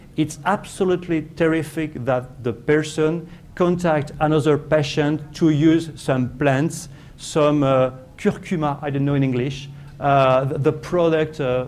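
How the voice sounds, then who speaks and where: With a French accent, a man speaks at a fairly high pitch amid audible room echo. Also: fairly even intonation. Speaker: professor. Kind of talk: conference talk. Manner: halting, many fillers and repetitions.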